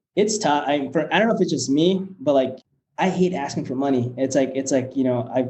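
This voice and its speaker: Speaking fairly quickly with a Spanish accent, a man uses a medium pitch, a dark, mellow tone and ordinary pitch variation. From Nebraska, US, Mexican family. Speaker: startup founder and CEO. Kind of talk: podcast interview. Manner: hesitant, many fillers.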